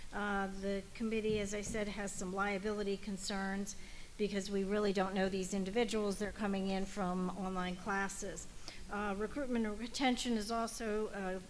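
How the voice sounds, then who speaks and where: A woman's medium-pitched voice, monotone and flat in intonation, at a moderate pace with audible room echo. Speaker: ALS subcommittee chair. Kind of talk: committee meeting report. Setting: meeting hall. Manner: loud.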